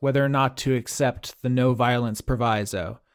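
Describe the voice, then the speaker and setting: On a very clean recording with a silent background, a man speaks in a plain, everyday voice at a medium pitch and a fairly slow pace. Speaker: game master. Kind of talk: tabletop roleplaying game session, casual chat.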